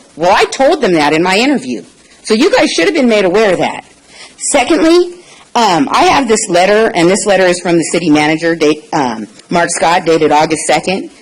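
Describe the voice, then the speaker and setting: The voice moves at a fairly quick pace, its pitch swinging very widely while loudness stays very even. Noticeable background noise runs underneath. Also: woman, medium pitch for a woman. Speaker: public commenter at city council meeting. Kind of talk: public comment. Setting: city council chamber. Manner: animated.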